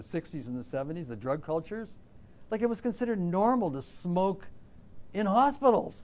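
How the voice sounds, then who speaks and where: A man with a Canadian accent at a moderate pace, his pitch swinging very widely, with audible room echo. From southern Ontario, Canada. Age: 60s. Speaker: artist. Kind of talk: interview. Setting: classroom with audience. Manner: animated.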